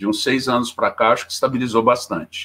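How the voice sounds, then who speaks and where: A man with a bright, sharp tone on a very clean recording with a silent background. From Minas Gerais, Poços de Caldas. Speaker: teacher. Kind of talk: casual interview; lecture.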